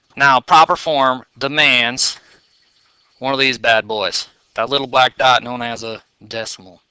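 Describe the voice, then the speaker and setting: A man at a fairly slow pace and medium pitch, fairly even in intonation, with long, frequent pauses, big swings in loudness, and a dry, close sound with no echo. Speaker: math teacher. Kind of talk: tutorial.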